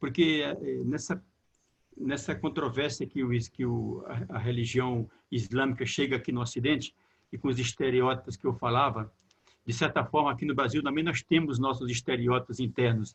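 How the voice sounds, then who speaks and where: Vocal fry runs through this man's medium-pitched voice as he speaks at a moderate pace with fairly even intonation. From Brazilian Northeast. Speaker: theologian, moderator. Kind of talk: panel discussion. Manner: halting, repeats words.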